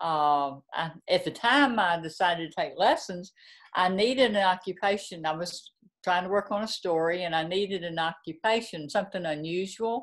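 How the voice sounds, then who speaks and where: On a very clean recording with a silent background, a woman speaks at a medium pitch and ordinary pitch variation in a Southern US accent. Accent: Southern drawl. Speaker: novelist. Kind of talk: interview.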